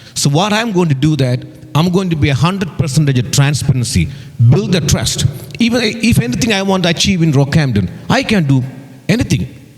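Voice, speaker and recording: Speaking at a fairly quick pace with an Indian accent, a man uses a fairly high pitch, very wide pitch swings and very even loudness over noticeable background noise. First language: not English, Indian language. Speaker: election candidate. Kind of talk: campaign speech. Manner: halting.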